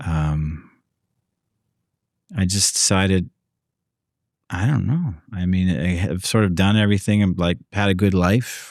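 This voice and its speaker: A man with a very deep, low pitch speaks at a fairly slow pace with long, frequent pauses and very even loudness, on a very clean recording with a silent background. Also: ordinary pitch variation. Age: 60s. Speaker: podcast guest, host's father. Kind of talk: casual chat. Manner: halting.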